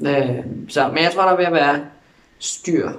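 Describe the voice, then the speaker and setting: A man delivers fairly slow, fairly evenly intoned speech with audible room echo around him. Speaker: vlogger. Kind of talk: video diary update. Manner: hesitant with fillers.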